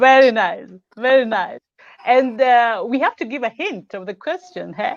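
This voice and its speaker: In a dry, close recording with no echo, a voice with a Kenyan accent speaks at a fairly slow pace with lively intonation and big swings in loudness. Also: woman, high pitch for a woman. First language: Luo. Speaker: live show host. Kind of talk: casual chat.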